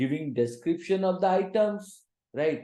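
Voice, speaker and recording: A man speaks at a very slow pace, his tone dark and mellow. The room echo is audible. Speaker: teacher. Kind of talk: lecture. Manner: quiet; halting.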